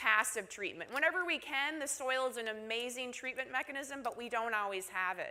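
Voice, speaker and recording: Her tone is bright and sharp. This woman has a high pitch and talks at a moderate pace. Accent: Minnesotan. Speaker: university research engineer and instructor. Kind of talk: conference presentation. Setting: stage with audience at conference.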